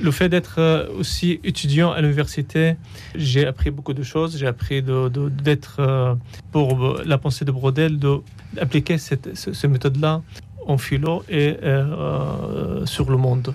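The speaker has an Arabic accent and sounds somewhat breathy. The pace is very slow. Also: man, fairly high pitch for a man, ordinary pitch variation. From Syria. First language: Arabic (speaking French). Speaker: refugee and philosopher, author. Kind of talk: radio interview. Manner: halting, repeating words.

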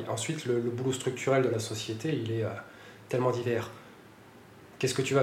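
A man speaks at a fairly quick pace. The recording has audible room echo and noticeable background noise. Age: 40s. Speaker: entrepreneur. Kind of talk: interview. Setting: studio. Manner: halting, with repeated words.

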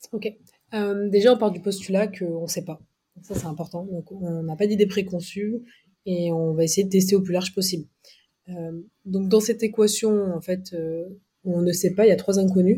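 At a moderate pace, a woman with a dark, mellow, somewhat breathy tone and medium pitch keeps her intonation fairly even but takes long, frequent pauses and makes big swings in loudness. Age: 30s. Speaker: marketing agency partner. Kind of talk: casual interview.

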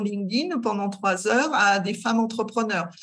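A woman's fairly high voice, a plain, everyday voice, with ordinary pitch variation at a fairly slow pace. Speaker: career guidance counsellor, entrepreneur. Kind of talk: casual interview.

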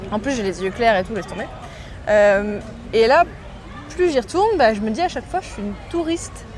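Crowd noise fills the background as a woman with a fairly high pitch talks at a fairly quick pace. Her pitch swings very widely, and she leaves long, frequent pauses. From Morocco. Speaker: podcast host. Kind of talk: casual chat.

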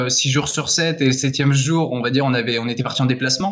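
A man talks with ordinary pitch variation. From France, Laval. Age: 20s. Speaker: author. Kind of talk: interview. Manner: halting.

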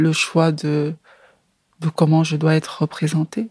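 The sound is dry and close, with no echo. A woman with a very deep, low pitch talks at a very slow pace. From Cameroon, Yaoundé. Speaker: film director. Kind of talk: interview. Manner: halting, frequent hesitations.

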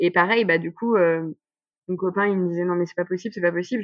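Intonation stays fairly even while the words come out very fast. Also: woman. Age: 30s. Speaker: pregnant woman with type 1 diabetes. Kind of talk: testimony. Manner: halting.

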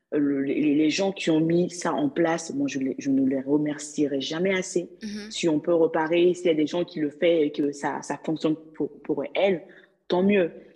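The woman's pitch is fairly low, with ordinary variation. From Mali. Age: 20s. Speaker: legal assistant. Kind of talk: interview. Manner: animated.

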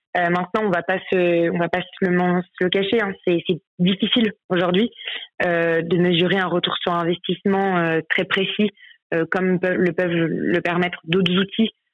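Fairly low-pitched female speech, moderate in pace and fairly even in intonation. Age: 20s. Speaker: sales manager at a handball club. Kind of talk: interview. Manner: hesitant, many fillers.

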